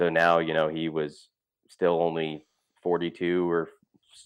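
Speaking very deep and low, a man talks in an American accent. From Montana. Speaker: outdoor TV and podcast host. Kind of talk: casual interview chat.

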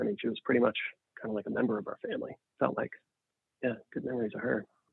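A man with an American accent and medium pitch, speaking at a very fast pace. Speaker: family member recalling childhood. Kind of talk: casual chat.

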